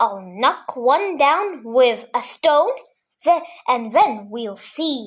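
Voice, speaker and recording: Using a put-on character voice, a woman talks very slowly at a high pitch. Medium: read story. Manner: brash, mocking.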